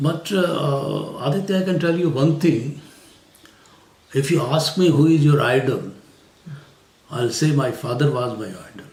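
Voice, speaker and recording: A man with a Haryana accent at a fairly high pitch, with ordinary pitch variation, long, frequent pauses, audible room echo and noticeable background noise. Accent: Indian English, Haryanvi. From India, rural Haryana. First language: Hindi/Haryanvi. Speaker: retired civil servant. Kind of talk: interview. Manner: hesitant, many fillers.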